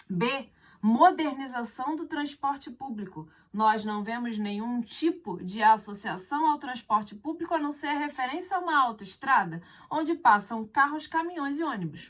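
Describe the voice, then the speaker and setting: The speech moves at a fairly slow pace. Its pitch swings very widely. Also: woman, high pitch for a woman. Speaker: teacher. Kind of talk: exam correction lesson.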